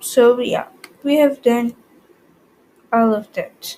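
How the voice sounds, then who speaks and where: A woman with a non-native accent speaks in a high voice. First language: not English. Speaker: ICT tutor, YouTuber. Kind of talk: tutorial. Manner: halting, many fillers.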